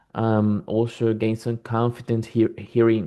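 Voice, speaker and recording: Against a quiet background, a man with a non-native accent speaks fairly slowly at a medium pitch in a dark, mellow tone. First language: not English. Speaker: English learner. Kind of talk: casual chat. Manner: halting.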